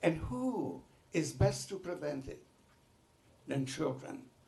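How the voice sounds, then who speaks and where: A man speaks at a fairly slow pace. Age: 90s. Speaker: Holocaust survivor. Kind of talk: testimony. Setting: legislative committee hearing.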